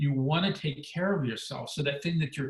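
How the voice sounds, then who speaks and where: Here a man speaks at a fairly high pitch and a fairly quick pace, with ordinary pitch variation. Noticeable background noise runs behind him. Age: 60s. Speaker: former weight-loss reality show contestant, wellness expert. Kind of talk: webinar interview.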